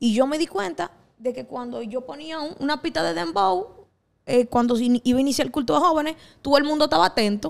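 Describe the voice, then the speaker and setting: A woman's high-pitched voice moves at a fairly quick pace through very wide pitch swings. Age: 20s. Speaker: singer and pastor; pastor. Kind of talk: casual chat. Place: studio. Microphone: handheld.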